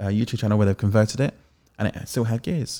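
A normal speaking voice with ordinary pitch variation comes through on a very clean recording with a silent background. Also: man. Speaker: podcast co-host and sound operator. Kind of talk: casual chat.

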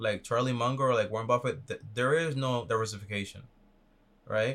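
A man with an ordinary speaking voice and medium pitch talks at a moderate pace on a very clean recording with a silent background. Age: 20s. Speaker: finance YouTuber. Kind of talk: advice call.

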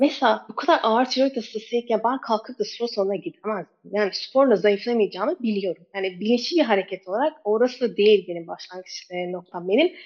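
Speaking at a fairly quick pace, a woman with a normal speaking voice and fairly high pitch uses lively intonation. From Turkey, Istanbul (born in Kabul). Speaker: ketogenic nutrition coach. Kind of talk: interview.

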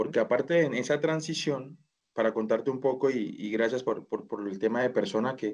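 Here is a man speaking at a fairly quick pace. His pitch is medium, with ordinary variation. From Colombia (Bogotá). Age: 30s. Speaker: e-commerce manager. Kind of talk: interview. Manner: halting.

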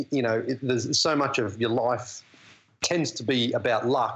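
At a fairly slow pace, a man talks in a plain, everyday voice, medium in pitch, with fairly even intonation. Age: 40s. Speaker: basketball TV analyst. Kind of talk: casual interview. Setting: phone or video call.

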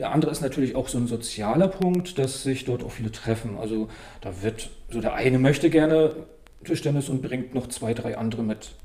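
Noticeable background noise accompanies a man of medium pitch who talks at a fairly quick pace. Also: ordinary pitch variation. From northern Germany (Stralsund, Western Pomerania). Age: 40s. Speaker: table tennis coach. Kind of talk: casual interview.

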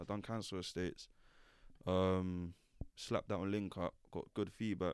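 A fairly low-pitched man speaks at a moderate pace in a monotone, flat intonation. The recording is very clean with a silent background. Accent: London. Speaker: drill rapper. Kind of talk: interview.

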